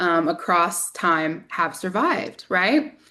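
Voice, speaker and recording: A woman with a slight Southern US accent against a quiet background. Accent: slight Southern drawl. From US South. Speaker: community organizer and podcaster. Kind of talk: presentation.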